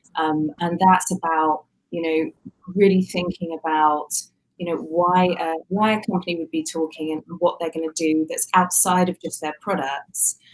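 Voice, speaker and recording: A woman with a British accent speaks at a moderate pace, her pitch fairly low and her intonation fairly even. The sound is dry and close, with no echo. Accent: British, similar to host's. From UK. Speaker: communications agency executive. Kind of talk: interview.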